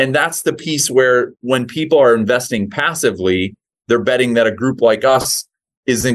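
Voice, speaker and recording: A man with a normal speaking voice, medium in pitch, talks at a moderate pace with ordinary pitch variation. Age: 40s. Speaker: real estate investment executive. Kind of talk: interview.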